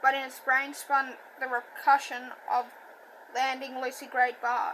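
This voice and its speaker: Over noticeable background noise, a woman raises and projects her high voice. She keeps a moderate pace with ordinary pitch variation. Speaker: audiobook reader. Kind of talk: reading aloud.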